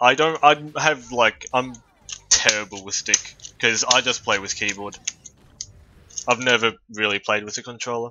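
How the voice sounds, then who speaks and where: With a slight Australian accent, a man speaks at a moderate pace with ordinary pitch variation and long, frequent pauses. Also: medium pitch for a man. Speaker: video game streamer. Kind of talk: casual live-stream chat. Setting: live stream.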